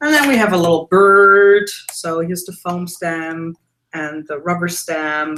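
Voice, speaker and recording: Delivered at a fairly slow pace with a German accent, the voice shows big swings in loudness and ordinary pitch variation. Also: woman, fairly low pitch for a woman. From Germany. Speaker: mixed media artist and art teacher. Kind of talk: casual interview. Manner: hesitant with many fillers.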